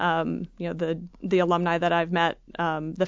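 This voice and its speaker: With an Upper Midwest US accent, a woman with fairly low pitch speaks at a moderate pace in a monotone, flat way. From Michigan, Freeland (near Saginaw). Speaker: university alumni association leader, engineer. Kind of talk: interview. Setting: studio.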